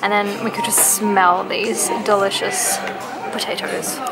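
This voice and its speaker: There is music in the background. Over it, a woman talks at a fairly slow pace. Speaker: food vlogger. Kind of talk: casual vlog chat. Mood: cheerful, enthusiastic. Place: cafe.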